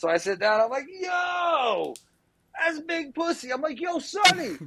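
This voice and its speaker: A man speaks at a fairly slow pace in a raised, projected voice. His pitch is extremely high, and his intonation is lively. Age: middle-aged. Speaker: podcast guest, music industry person. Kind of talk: casual chat.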